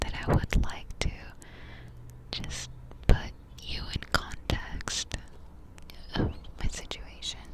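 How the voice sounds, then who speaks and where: A woman whispers at a very slow pace. Noticeable background noise sits underneath. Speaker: ASMR creator. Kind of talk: ASMR update talk to camera, casual chatty monologue. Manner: whispered, soft-spoken.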